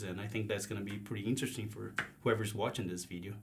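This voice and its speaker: Somewhat breathy, a man talks at a very fast pace. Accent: Brazilian. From southern Brazil, Paraná. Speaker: agricultural sales manager. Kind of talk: casual interview.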